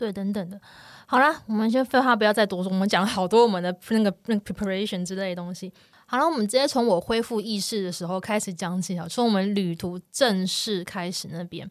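In a Taiwanese accent, a woman talks at a fairly quick pace with ordinary pitch variation. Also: medium pitch for a woman. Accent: Taiwanese Mandarin. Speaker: wildlife photography podcast host. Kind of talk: casual chat.

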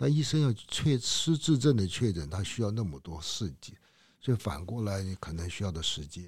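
A man's fairly low, somewhat breathy voice moves at a moderate pace, with very wide pitch swings and big swings in loudness. The recording is very clean, with a silent background. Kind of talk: interview.

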